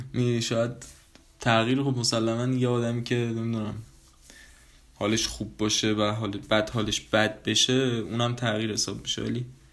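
With music in the background and audible room echo, a man talks at a fairly quick pace and medium pitch in a monotone, flat intonation, leaving long, frequent pauses. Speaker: podcast host. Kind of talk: casual monologue. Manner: casual; low-energy.

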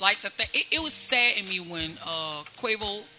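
A woman's voice shows ordinary pitch variation against noticeable background noise. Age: 40s. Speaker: hip-hop artist. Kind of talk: casual chat. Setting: studio.

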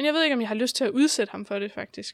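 With vocal fry and a very fast pace, a woman speaks on a very clean recording with a silent background and a dry, close sound with no echo. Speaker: guest with chronic illnesses. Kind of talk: casual interview.

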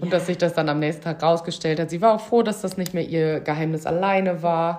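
A woman's fairly low-pitched, plain, everyday voice at a fairly quick pace, with fairly even intonation. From Münsterland, Germany. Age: 20s. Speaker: former care worker. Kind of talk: casual chat.

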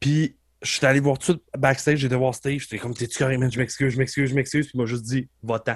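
A man of medium pitch talks at a very fast pace. His voice is somewhat breathy, with monotone, flat intonation. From Quebec, Beauce region. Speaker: professional wrestler and wrestling coach. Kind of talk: casual interview conversation.

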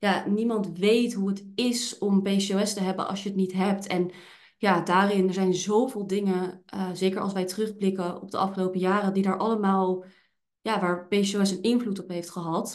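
Her pitch sits in the medium range for a woman. The intonation stays monotone and flat. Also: moderate pace. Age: 20s. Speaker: podcast host and hormone therapist with PCOS. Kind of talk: casual chat. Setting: office.

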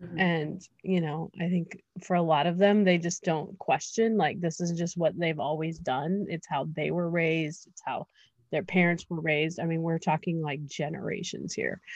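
A woman with an American accent talks at a moderate pace in a fairly low pitch, her intonation fairly even, against a quiet background. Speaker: entrepreneur. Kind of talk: interview. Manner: hesitant, many fillers.

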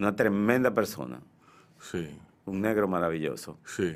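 A man's ordinary speaking voice, fairly slow in pace, with lively intonation. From Dominican Republic, Santiago. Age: 60s. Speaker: painter and art teacher. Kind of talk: radio interview. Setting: radio studio.

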